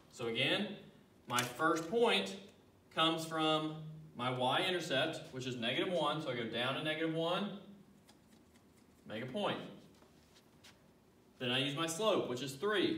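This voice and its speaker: Over noticeable background noise and audible room echo, a man with a fairly high pitch and lively intonation talks at a fairly slow pace with long, frequent pauses. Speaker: math teacher. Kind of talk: tutorial.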